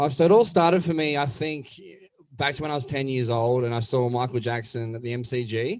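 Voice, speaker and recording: A man with an Australian accent, medium pitch and ordinary pitch variation, at a fairly quick pace. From Melbourne, Australia. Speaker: country-rock singer. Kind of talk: interview.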